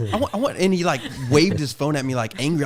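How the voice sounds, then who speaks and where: Over noticeable background noise, a man with an American accent talks at a very fast pace with lively intonation. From Texas (Austin area). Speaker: podcast host. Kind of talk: casual chat. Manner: animated.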